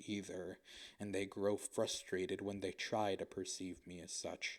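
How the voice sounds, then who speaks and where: At a fairly slow pace, a man is talking. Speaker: video essayist. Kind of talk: introspective monologue. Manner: monotone, robotic cadence; formal.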